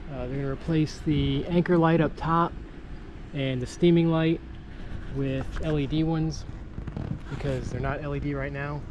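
A man speaks at a fairly slow pace with long, frequent pauses over noticeable background noise. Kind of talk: casual vlog chat. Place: boat. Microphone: phone near.

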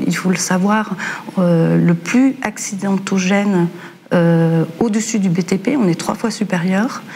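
Light background noise sits under a woman speaking at a very slow pace. Her loudness is very even, and her pitch varies in an ordinary way. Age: 50s. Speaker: home care worker; guest. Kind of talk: panel discussion. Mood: earnest, concerned. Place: studio.

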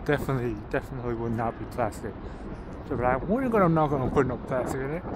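A man talks amid loud background noise, his voice dry and free of echo. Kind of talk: casual vlog chat. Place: street. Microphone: phone near.

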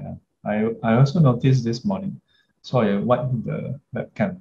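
Somewhat breathy and dark, mellow in tone, a man talks at a fairly slow pace. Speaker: dharma teacher. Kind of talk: lecture. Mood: warm, laughing. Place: home room. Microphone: webcam.

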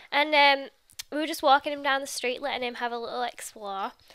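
Projecting her voice, a woman with an English accent speaks at high pitch and a fairly quick pace in a bright, sharp tone, on a very clean recording with a silent background. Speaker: YouTuber. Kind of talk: casual vlog talk to camera.

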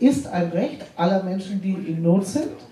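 Noticeable background noise accompanies a woman speaking at medium pitch and a moderate pace. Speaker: aid organization representative. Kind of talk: panel discussion.

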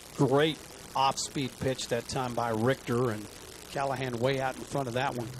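A man's monotone, flat delivery at a moderate pace over noticeable background noise. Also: medium pitch for a man. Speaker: baseball color commentator. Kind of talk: live baseball color commentary, analytical chat between pitches. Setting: ballpark broadcast booth. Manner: relaxed, conversational, with filler 'uh'.

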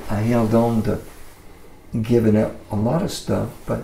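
Over light background noise and audible room echo, a man speaks very slowly with an American accent. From Mississippi. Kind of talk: interview answer. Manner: casual. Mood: relaxed, warm storytelling. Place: studio.

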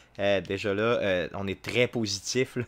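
A man speaks with a Quebec accent. His intonation is fairly even. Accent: Québécois French. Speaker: video game streamer. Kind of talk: live gameplay commentary. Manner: halting, frequent filler words. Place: home room.

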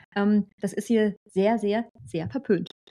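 Against a quiet background, a woman talks with fairly even intonation. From Germany. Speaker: German expat in Australia; channel host. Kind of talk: casual chat. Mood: amused storytelling. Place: home room. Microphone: studio mic.

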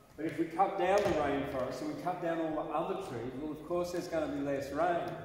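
Strong room echo and light background noise surround a man with a fairly high pitch and fairly even intonation. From Australia. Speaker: poet. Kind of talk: casual monologue. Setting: outdoors at night. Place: hall.

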